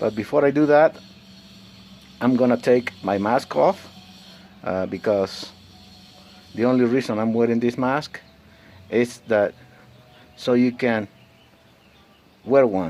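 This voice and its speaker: With long, frequent pauses, a man speaks fairly slowly at a medium pitch and ordinary pitch variation. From Mexico. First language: Spanish. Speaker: vlogger. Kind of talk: personal vlog monologue. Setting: alone, self-recorded. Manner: halting, many fillers.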